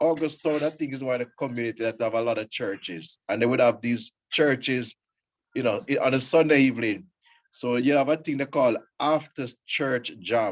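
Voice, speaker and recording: A man with a Jamaican accent at a moderate pace. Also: medium pitch for a man, ordinary pitch variation. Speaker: scout leader and reggae show host. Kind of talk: casual radio chat.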